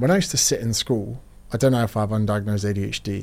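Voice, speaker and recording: A man with a British accent, medium pitch and ordinary pitch variation, in a very clean recording with a silent background. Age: 30s. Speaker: fitness author and personal trainer. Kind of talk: casual interview chat.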